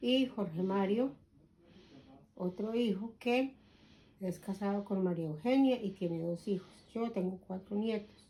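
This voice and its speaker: Her tone is dark and mellow, with a medium pitch and ordinary pitch variation. The woman speaks at a fairly slow pace with long, frequent pauses. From Colombia. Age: 60s. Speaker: grandmother interviewed about her life. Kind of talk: oral history interview.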